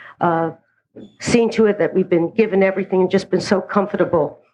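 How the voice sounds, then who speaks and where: This woman speaks in a New York accent. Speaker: recovery speaker. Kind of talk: personal testimony.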